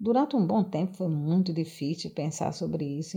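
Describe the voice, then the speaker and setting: Her dark, mellow tone carries vocal fry and very wide pitch swings as the woman speaks at a moderate pace. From Brazil, Rio Grande do Norte (coastal town near Natal). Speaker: nutritionist and social sciences graduate student. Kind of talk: personal testimony, largely read. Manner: formal.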